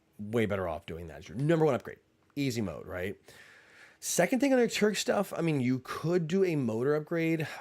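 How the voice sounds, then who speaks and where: Over a silent background on a very clean recording, a man with an American accent talks at a fairly quick pace and a fairly high pitch, with very wide pitch swings and big swings in loudness. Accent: slight southern accent, slips in occasionally. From US South, Tennessee. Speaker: airsoft channel host. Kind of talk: livestream Q&A. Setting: livestream. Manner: casual, filler-heavy.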